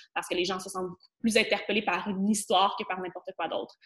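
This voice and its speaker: Her intonation is flat and monotone. This woman speaks at a medium pitch. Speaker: spirituality coach and podcaster. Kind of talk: casual interview conversation.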